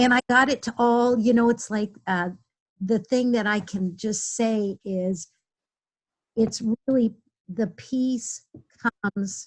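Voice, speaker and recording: A woman speaks very slowly in a fairly high, somewhat breathy voice with fairly even intonation and long, frequent pauses. The sound is dry and close, with no echo. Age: 60s. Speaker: webinar participant. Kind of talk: group sharing in online workshop. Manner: halting, many fillers.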